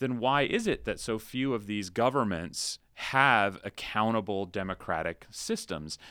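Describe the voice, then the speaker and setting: On a very clean recording with a silent background, a man speaks in an American accent. He has a plain, everyday voice, medium in pitch with ordinary pitch variation. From Central Florida. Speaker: political science professor. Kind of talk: interview.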